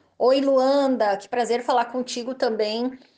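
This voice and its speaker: A woman's high voice in a Gaúcho Brazilian accent, at a moderate pace with fairly even intonation, over a quiet background. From southern Brazil (Rio Grande do Sul). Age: 30s. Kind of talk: interview answers.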